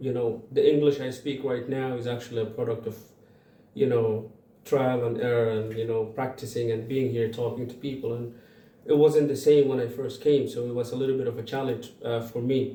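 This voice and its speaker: Over audible room echo, a man talks at a fairly quick pace with a medium pitch and monotone, flat intonation. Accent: Arabic. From Sudan (Darfur). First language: Arabic. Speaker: community organization founder. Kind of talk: interview. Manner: halting, many fillers and repeats.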